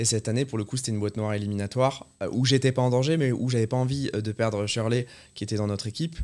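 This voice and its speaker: Speaking at a very fast pace, this man keeps his intonation fairly even. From south-west France, near Bordeaux; south-west France. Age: 30s. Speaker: chef; podcast guest. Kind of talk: casual interview. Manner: hesitant, many fillers. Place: studio. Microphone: studio mic.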